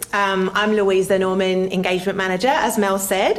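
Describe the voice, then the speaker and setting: A woman with an Australian accent, medium pitch, fairly even intonation and a moderate pace, with noticeable background noise. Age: 40s. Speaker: arts engagement manager. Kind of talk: public presentation.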